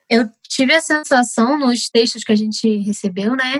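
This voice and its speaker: A woman speaks at a high pitch and a moderate pace, with ordinary pitch variation. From Rio de Janeiro. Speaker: family doctor. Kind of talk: casual discussion.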